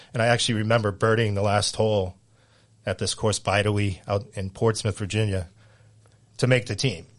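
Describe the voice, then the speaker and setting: A man with an American accent speaks at a fairly low pitch and a fairly quick pace, with fairly even intonation, long, frequent pauses and a quiet background. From Central Massachusetts. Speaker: high school golf coach. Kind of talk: casual interview chat.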